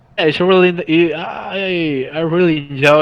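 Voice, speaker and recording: Someone speaks with a Spanish accent over noticeable background noise. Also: man. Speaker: flight simulator developer, aerospace engineer. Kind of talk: casual interview.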